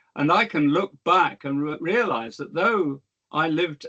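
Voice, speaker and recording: A man with a British accent, fairly high in pitch, at a moderate pace, in a dry, close recording with no echo. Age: 70s. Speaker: historian. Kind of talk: lecture. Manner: halting, frequent repetitions and fillers.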